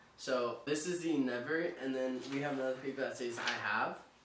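This man has a medium pitch, ordinary pitch variation and a fairly bright tone at a fairly quick pace. Strong room echo surrounds his voice.

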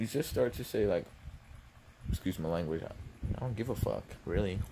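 Soft-spoken and very deep in pitch, a man talks at a fairly quick pace over noticeable background noise. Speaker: ASMR vlogger. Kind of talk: ASMR eating video with casual rant. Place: home room. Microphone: phone near.

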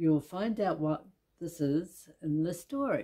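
A woman with a New Zealand accent speaks in a dark, mellow tone with lively intonation. The background is quiet. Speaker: book reviewer. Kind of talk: scripted book review read. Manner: hesitant, with filler sounds. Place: home room.

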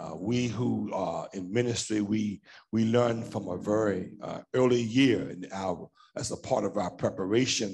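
A man's fairly low voice with vocal fry and ordinary pitch variation, over light background noise. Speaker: pastor. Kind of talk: sermon. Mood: relaxed, anecdotal. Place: church. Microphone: headset.

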